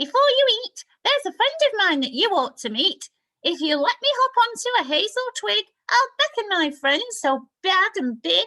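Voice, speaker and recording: A squeaky put-on character voice with very wide pitch swings at a moderate pace. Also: woman, extremely high pitch for a woman. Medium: read story.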